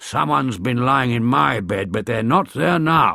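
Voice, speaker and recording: Using a put-on character voice, a man growls at a moderate pace with a medium pitch. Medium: read story.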